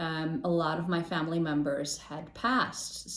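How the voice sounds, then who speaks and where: There is noticeable background noise and audible room echo as a woman speaks in a fairly low pitch. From Chicago, US (born in Poland). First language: Polish. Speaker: intercultural trainer, podcast co-host. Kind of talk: interview.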